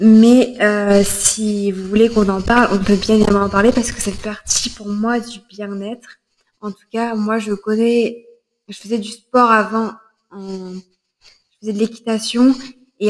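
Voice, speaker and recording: A woman's fairly high, flat, monotone voice with big swings in loudness. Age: 20s. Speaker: podcaster and fitness instructor. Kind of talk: solo podcast monologue. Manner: hesitant, many filler sounds.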